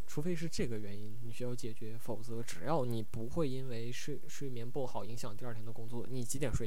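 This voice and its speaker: With a slight Northeast Chinese accent, the speaker talks at a fairly quick pace over noticeable background noise. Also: man. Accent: slight Northeastern Mandarin. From Northeast China, Changchun. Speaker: podcast host. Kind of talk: casual solo livestream chat. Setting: live stream.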